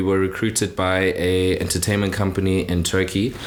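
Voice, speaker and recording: Audible echo fills the room. In it, a man talks with a very deep, low voice. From South Africa, Cape Town. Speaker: musician. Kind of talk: casual interview chat.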